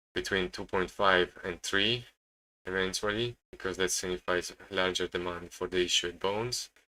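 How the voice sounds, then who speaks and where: Recorded very cleanly against a silent background, a man with an Italian accent speaks at a fairly slow pace, his very deep, low pitch paired with a bright, sharp tone. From Italy. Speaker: day trader streamer. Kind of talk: live-stream commentary. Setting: live stream. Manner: halting, many repetitions.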